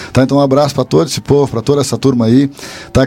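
Noticeable background noise accompanies a man talking at a very fast pace. His pitch is medium, with ordinary variation. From Bagé, Rio Grande do Sul, Brazil. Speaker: guest storyteller. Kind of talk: casual storytelling.

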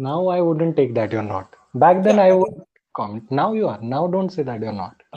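A man with a fairly high pitch swings very widely in pitch while keeping a moderate pace. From India, Mumbai. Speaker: podcast host. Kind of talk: scripted intro.

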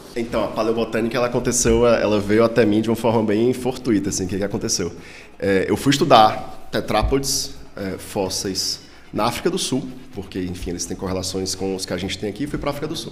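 Someone with a Ceará accent speaks at a very fast pace with ordinary pitch variation. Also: man, fairly low pitch for a man. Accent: Northeastern Brazilian (Ceará). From Ceará, Brazil. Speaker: paleontology professor. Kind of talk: casual interview.

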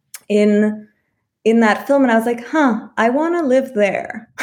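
An unremarkable speaking voice from a woman, fairly high in pitch, with an American accent, lively intonation and a moderate pace. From California, US. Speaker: French cinema professor. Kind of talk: casual interview.

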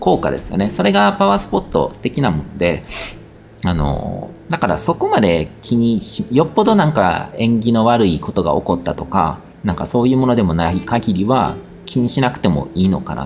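The man has a fairly low pitch that moves in very wide swings. He keeps a moderate pace. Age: 40s. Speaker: spiritual podcast host and blogger. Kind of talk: casual monologue answering listener questions. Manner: hesitant, many fillers.

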